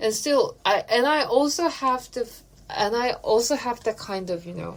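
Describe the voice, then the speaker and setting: This voice has a Korean accent. The pace is fairly slow. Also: woman. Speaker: podcast co-host. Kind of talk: casual chat.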